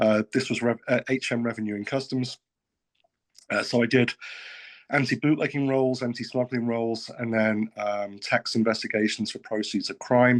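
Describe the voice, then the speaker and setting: In a British accent, a man talks at a moderate pace with medium pitch and monotone, flat intonation, the sound dry and close with no echo against a quiet background. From UK. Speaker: state financial regulator. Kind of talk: panel discussion.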